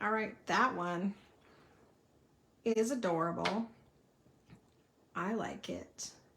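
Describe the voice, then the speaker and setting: In a Southern US accent, a woman talks very slowly at a medium pitch with vocal fry and long, frequent pauses. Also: ordinary pitch variation. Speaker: card-making crafter. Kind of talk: live craft tutorial. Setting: livestream at craft table. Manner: casual, chatty.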